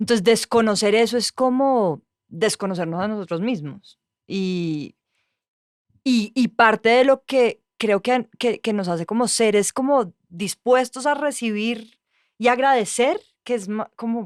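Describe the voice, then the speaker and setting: On a very clean recording with a silent background and a dry, close sound with no echo, a woman speaks in an ordinary speaking voice at a fairly high pitch, with ordinary pitch variation and a fairly slow pace. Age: young. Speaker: journalist. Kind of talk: casual chat.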